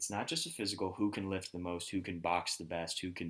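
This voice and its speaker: A man talks in a very deep, low pitch. His intonation stays monotone and flat. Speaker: podcast host. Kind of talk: casual chat. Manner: halting, stuttering.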